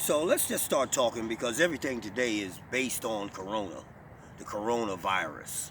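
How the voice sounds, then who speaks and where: At a moderate pace, a man with a plain, everyday voice speaks at a medium pitch with lively intonation. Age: 60s. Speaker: natural healer and talk show host. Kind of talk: monologue talk show. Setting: online video talk show.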